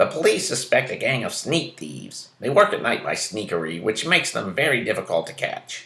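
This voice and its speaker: A man uses a put-on character voice. His loudness swings a lot. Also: fairly quick pace. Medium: read story.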